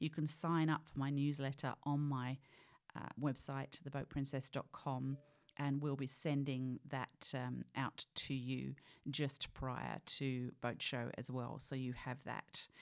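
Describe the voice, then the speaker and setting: A woman with a British accent speaks very slowly at a very deep, low pitch in a monotone, flat intonation, on a very clean recording with a silent background. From UK. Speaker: podcast host. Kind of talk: podcast intro and interview. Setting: boat show.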